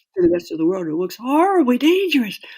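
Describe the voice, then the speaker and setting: A woman's voice moves through very wide pitch swings. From US Northeast, New York City. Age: 60s. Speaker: writer and climber. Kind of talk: interview.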